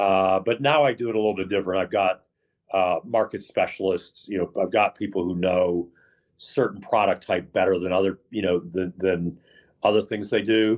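Man with an American accent, fairly low pitch, fairly even intonation and moderate pace against a quiet background. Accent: none noticeable. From Texas. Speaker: real estate investor. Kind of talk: interview. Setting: airport lounge, remote call.

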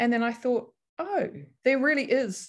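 A woman speaks with a New Zealand accent. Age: 50s. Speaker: counselor and article writer. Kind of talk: casual interview chat. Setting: remote call during lockdown.

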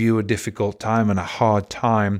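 Recorded very cleanly against a silent background, a man with an English accent speaks at a fairly slow pace. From England. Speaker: podcast host and life coach. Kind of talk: motivational talk.

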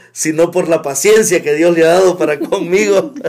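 A man with a high pitch talks over noticeable background noise. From El Salvador, Metapán. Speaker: church elder. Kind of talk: testimony. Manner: halting.

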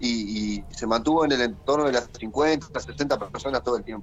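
The man speaks at a fairly slow pace, his intonation lively. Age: 40s. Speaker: teacher and political activist. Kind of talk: interview. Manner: repeats words, slightly halting.

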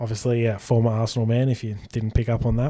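A man with an Australian accent, medium pitch and a dark, mellow tone. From Australia, Sydney. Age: 20s. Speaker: sports podcast co-host. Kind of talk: casual chat.

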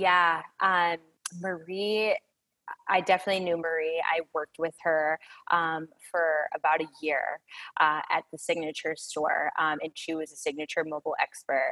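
A woman's fairly low, bright, sharp voice with an American accent, monotone and flat, at a moderate pace with long, frequent pauses and a dry, close sound with no echo. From Chicago area. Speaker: retail store manager. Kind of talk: podcast interview.

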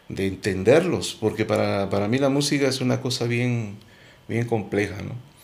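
Audible room echo colors the voice of a man. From Guatemala, Quetzaltenango. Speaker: musician. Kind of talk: interview.

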